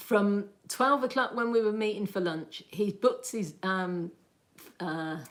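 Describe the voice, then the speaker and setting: In a Birmingham accent, the speaker goes at a fairly slow pace with lively intonation. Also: woman. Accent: Birmingham (Brummie) English. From Birmingham, England. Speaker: lifestyle livestreamer. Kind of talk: casual livestream chat. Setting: livestream. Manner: animated.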